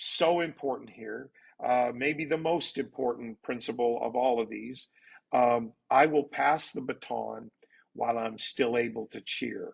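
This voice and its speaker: Using fairly even intonation, a man of medium pitch speaks at a fairly slow pace with vocal fry. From Canada. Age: 60s. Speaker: pastor. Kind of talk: interview.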